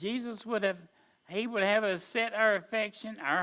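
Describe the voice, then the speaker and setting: A man speaks in a raised, projected voice with a bright, sharp tone. His pace is moderate, and the recording is very clean with a silent background. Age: 70s. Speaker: Sunday school teacher and preacher. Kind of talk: Sunday school lesson.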